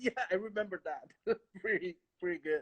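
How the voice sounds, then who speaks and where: A man speaks with a Spanish accent, recorded with a dry, close sound and no echo. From Galicia, northwest Spain. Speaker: orchestral trumpet player. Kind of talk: casual interview. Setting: live stream. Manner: halting.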